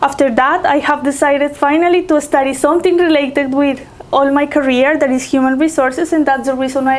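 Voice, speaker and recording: A woman speaks quite quickly in a high voice with fairly even intonation. Noticeable background noise is present. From Colombia. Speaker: HR professional. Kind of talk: interview.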